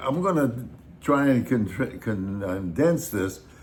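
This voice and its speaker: With audible room echo, a man with an American accent talks very slowly in a somewhat breathy voice, his pitch swinging very widely. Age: 80s+. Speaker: YouTube host, retiree. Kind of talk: casual chat.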